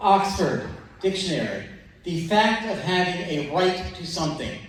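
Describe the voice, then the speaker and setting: The man speaks in a high pitch. There is audible room echo around his voice. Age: 60s. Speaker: audience member. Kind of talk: question from the floor. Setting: town hall with live audience.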